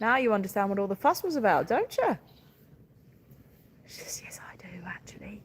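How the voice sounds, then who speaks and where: A woman talks at a moderate pace with a southeast English accent. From southeast England, Sussex. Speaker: farmer. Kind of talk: livestream chat with viewers. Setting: livestream on farm, calving watch. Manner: animated.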